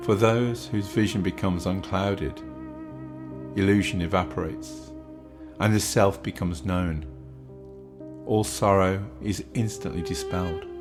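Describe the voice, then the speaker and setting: Over music in the background, a man speaks fairly slowly in a very deep, low voice with very wide pitch swings. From British. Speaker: audiobook narrator. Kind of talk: spiritual text narration. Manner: slow, meditative, relaxing.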